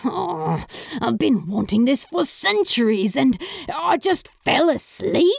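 Putting on a character voice, a woman speaks slowly at a fairly high pitch with big pitch swings and vocal fry.

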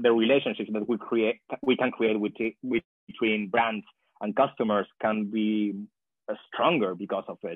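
With a Spanish accent, a man talks at a moderate pace and medium pitch with fairly even intonation. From Chile. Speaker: PhD student in sociology. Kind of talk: interview.

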